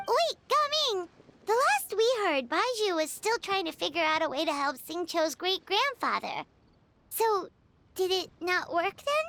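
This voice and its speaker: Extremely high pitch in a put-on character voice. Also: moderate pace. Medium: video game. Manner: chatty, excitable.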